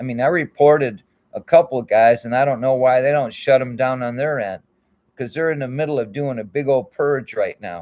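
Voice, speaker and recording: With an American accent, a man talks at a fairly quick pace and ordinary pitch variation. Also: medium pitch for a man. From Michigan. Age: 60s. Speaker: YouTube channel host. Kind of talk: casual livestream monologue. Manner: rambling, colloquial.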